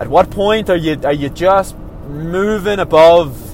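Noticeable background noise under a man's moderate pace and ordinary pitch variation. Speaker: professional runner. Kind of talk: casual monologue. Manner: halting.

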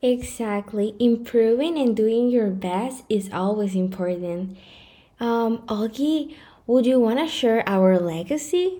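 A woman with a Spanish accent speaks at a very slow pace in a confident tone. Her fairly high voice has a dark, mellow tone and lively intonation. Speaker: podcast host. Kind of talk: casual chat. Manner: slightly hesitant at first, then more confident.

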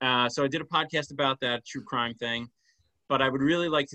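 A man's voice in an American accent, its pitch varying in an ordinary way. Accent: avoids a Long Island. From Long Island, New York. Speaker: author and English teacher. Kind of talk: interview.

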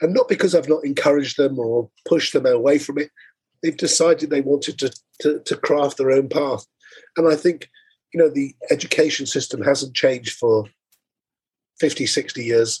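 Long, frequent pauses break up this man's somewhat breathy speech, his intonation fairly even. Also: fairly high pitch for a man, moderate pace. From Wales. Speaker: travel media entrepreneur. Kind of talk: interview. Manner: repeats words when speaking.

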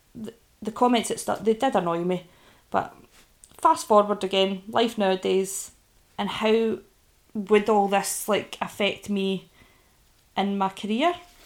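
This woman talks with ordinary pitch variation. She leaves long, frequent pauses. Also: medium pitch for a woman, fairly slow pace. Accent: Scottish. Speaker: podcaster and online business owner. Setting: recording from bed at home. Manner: casual, candid, swears often.

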